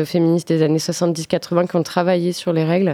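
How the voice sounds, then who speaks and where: The recording is very clean with a silent background and a dry, close sound with no echo, carrying a woman's fairly low-pitched voice with a dark, mellow tone. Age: 30s. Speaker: festival organiser. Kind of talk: casual radio interview.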